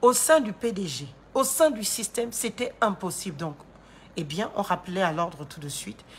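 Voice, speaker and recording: Somewhat breathy, the voice moves at a moderate pace with very wide pitch swings. The recording is very clean, with a silent background. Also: woman. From Gabon. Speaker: political commentator and lawyer. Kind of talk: political commentary monologue. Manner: animated.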